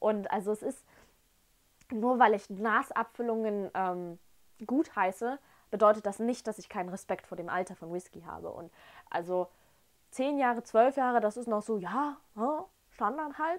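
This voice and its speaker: A woman's fairly high voice at a moderate pace, with ordinary pitch variation, big swings in loudness, long, frequent pauses and a quiet background. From Germany, Dresden (Saxony); Saxony, Germany. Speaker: whisky tasting vlogger. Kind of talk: casual tasting vlog. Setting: at home in front of shelf. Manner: animated, enthusiastic. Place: home room. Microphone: lapel.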